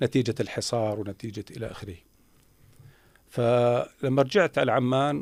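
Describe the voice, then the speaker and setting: With a Jordanian accent, a man talks at a fairly slow pace, leaving long, frequent pauses. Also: medium pitch for a man, ordinary pitch variation. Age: 60s. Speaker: former minister. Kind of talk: interview. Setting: radio studio. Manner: halting.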